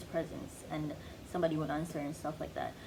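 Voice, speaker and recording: Audible room echo can be heard. A woman's voice carries through it. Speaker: vlogger. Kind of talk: casual monologue. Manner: soft-spoken, chill; halting, filler-heavy.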